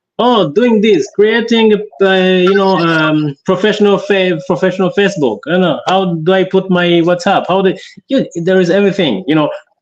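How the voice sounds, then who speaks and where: This man speaks with a high pitch. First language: African local dialect; French is second language, not English. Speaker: entrepreneur guest. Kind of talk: interview. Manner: halting, many repetitions and fillers.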